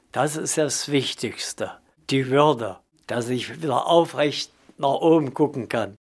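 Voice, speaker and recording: Speaking at a very slow pace, a man with a fairly high pitch uses ordinary pitch variation. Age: 70s. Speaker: homeless pensioner. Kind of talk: interview.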